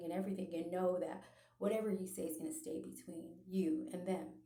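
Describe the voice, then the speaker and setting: Amid audible room echo, a woman with a fairly low pitch talks at a very fast pace in a flat, monotone way. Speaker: religious vlogger. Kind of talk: personal testimony monologue. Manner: hesitant, many filler ums and repetitions.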